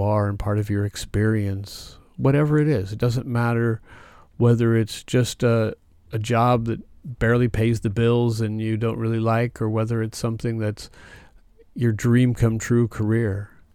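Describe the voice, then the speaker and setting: A man with a medium pitch and a calm, gentle, dark, mellow tone speaks at a moderate pace in a monotone, flat delivery on a very clean recording with a silent background. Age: 50s. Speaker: spiritual healing podcast host. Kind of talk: monologue on spiritual growth.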